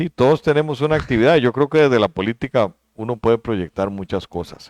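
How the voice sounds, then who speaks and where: A man speaks in a plain, everyday voice at a medium pitch with lively intonation. The background is quiet. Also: dry, close sound with no echo. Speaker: vice-presidential candidate. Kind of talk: interview.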